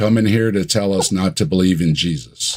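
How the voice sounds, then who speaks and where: A man at a moderate pace with a fairly low pitch. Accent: Michigan. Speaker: atheist YouTuber. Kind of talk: casual chat.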